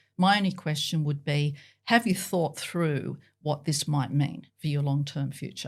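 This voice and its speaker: A woman with an Australian accent has a very deep, low pitch and a somewhat breathy sound. She speaks at a fairly slow pace, with ordinary pitch variation. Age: 60s. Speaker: professor. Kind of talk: interview.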